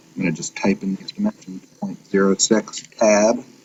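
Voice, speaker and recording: Noticeable background noise sits behind a man speaking at a moderate pace. His pitch is fairly low, with ordinary pitch variation. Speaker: engineering teacher. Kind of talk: tutorial.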